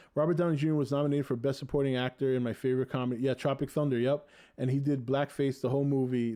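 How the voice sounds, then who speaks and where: A man with a New England accent, medium pitch and a dark, mellow tone, at a very fast pace with hardly any pauses, very even loudness and monotone, flat intonation, over a quiet background. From Boston, Massachusetts. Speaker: podcast host. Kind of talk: casual chat.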